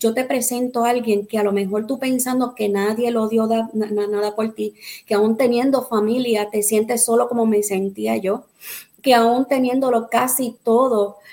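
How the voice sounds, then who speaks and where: A woman's fairly high, dark, mellow voice at a fairly slow pace in monotone, flat intonation. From Puerto Rico. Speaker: pastor. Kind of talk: testimony; preaching-style exhortation.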